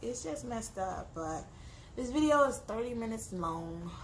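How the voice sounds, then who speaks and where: With audible room echo, a woman speaks at a moderate pace, her fairly high pitch making very wide swings. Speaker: vlogger. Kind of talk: casual vlog monologue. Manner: halting.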